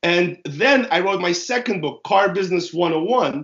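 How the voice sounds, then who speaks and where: At a moderate pace, a man with a Russian accent speaks in a high voice with ordinary pitch variation. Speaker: author and car business consultant. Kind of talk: interview.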